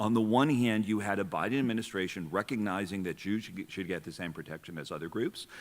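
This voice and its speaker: A very fast-talking man with a fairly low pitch and ordinary pitch variation, in a very clean recording with a silent background. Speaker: civil rights lawyer, former federal official. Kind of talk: panel discussion.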